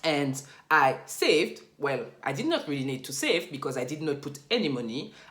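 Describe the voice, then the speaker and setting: The speaker has a French accent and keeps a moderate pace. The room echo is audible. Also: woman. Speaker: finance YouTuber. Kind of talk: tutorial.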